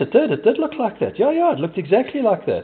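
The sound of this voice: A man talks fast at a high pitch. His voice swings very widely in pitch.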